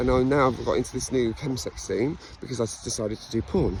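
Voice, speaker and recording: Pitch moves with ordinary variation. An English accent is heard. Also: man. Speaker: vlogger sharing personal story. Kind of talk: personal monologue. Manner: fast; halting.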